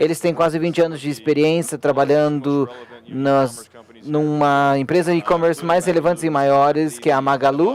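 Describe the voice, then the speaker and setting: This man has a fairly high-pitched voice with a non-native accent. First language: English (speaking Portuguese). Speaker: panel moderator, company CEO. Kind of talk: conference panel discussion. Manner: halting.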